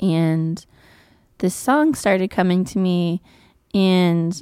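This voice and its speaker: Against a very clean, silent background, a woman in an American accent has a fairly low pitch, a dark, mellow tone and ordinary pitch variation. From northern Nevada (Virginia City). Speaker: singer-songwriter. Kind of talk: interview. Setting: stage with audience.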